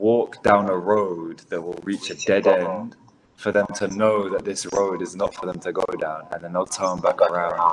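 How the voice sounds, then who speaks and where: A man in a London accent at a moderate pace, with noticeable background noise. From London, England. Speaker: spiritual content creator and musician. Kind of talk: casual interview conversation.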